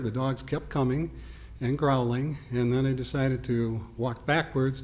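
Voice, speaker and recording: Medium in pitch, a man uses an ordinary speaking voice. His intonation stays fairly even at a moderate pace. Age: 60s. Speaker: resident giving public comment. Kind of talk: public comment at village board meeting.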